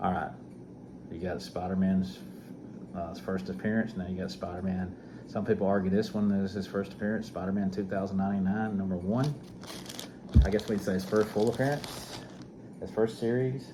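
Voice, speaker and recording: A man with an Alabama accent, fairly low in pitch with ordinary variation, at a fairly quick pace broken by long, frequent pauses, with audible room echo. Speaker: comic book collector, YouTuber. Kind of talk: casual show-and-tell video.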